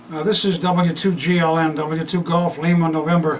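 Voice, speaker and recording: A man's high-pitched, flat, monotone delivery at a fairly slow pace, over noticeable background noise. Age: 70s. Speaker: amateur radio operator. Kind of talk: equipment walkthrough; radio contact. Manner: halting.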